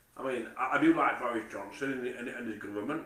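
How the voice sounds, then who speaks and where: Audible room echo surrounds a man of medium pitch whose bright, sharp tone moves at a fairly quick pace. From Manchester, later Nottingham/Mansfield. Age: 40s. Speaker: vlogger. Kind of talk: casual monologue. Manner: halting, repetitive stammering.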